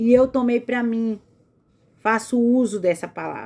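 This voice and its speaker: A woman with a fairly high pitch speaks fairly slowly in an animated tone. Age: 40s. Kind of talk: religious motivational talk.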